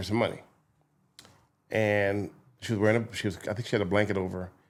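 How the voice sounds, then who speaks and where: A man with a Philadelphia accent speaks at a very fast pace in a fairly low pitch. The recording is very clean, with a silent background. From Philadelphia and Camden, New Jersey. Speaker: TV news journalist. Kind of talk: casual podcast interview.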